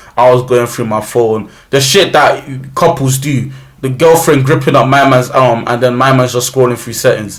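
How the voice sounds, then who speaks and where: A man with a London accent speaks at a moderate pace and medium pitch, with fairly even intonation. He takes hardly any pauses, and there is audible room echo. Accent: London multicultural English. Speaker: YouTuber. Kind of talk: storytelling. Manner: loud.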